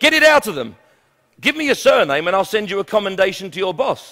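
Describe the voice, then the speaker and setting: A man speaks in a raised, projected voice with very wide pitch swings. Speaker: motivational speaker. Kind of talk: humorous business keynote speech.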